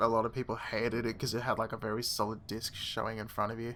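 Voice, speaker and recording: A man talks very fast in a flat monotone, his medium-pitched voice bright and sharp. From Australia. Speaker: gaming streamer. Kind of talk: live stream chat while gaming.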